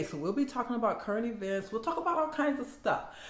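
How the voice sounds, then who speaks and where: Talking at a very fast pace, a woman with an American accent is heard amid audible room echo and noticeable background noise. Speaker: minister and content creator. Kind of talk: casual vlog intro. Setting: home video setup with ring light. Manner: audible lip smacking; filler words.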